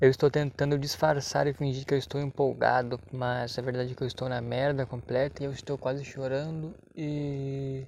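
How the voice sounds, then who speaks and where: A man speaks at a moderate pace with a medium pitch and hardly any pauses. His intonation is flat and monotone. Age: 20s. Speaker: podcaster. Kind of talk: casual monologue. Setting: at workplace.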